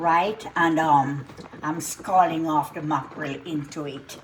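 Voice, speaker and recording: Very slow speech from a woman with a fairly low pitch, amid noticeable background noise. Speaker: cooking channel host. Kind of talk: cooking tutorial. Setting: home kitchen. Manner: casual, relaxed.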